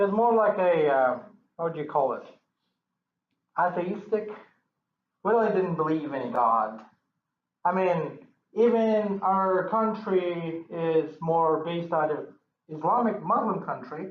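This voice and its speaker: Lively intonation comes through at a fairly slow pace with long, frequent pauses and audible room echo. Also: man, high pitch for a man. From Kyrgyzstan, Central Asia. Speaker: church member giving testimony. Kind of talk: testimony. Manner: halting, many repetitions.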